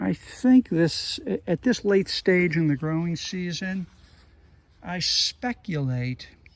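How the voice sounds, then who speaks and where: A man speaks at a very slow pace, his voice high and his intonation lively. The sound is dry and close with no echo, and background noise is noticeable. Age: 60s. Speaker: gardening vlogger. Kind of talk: casual monologue.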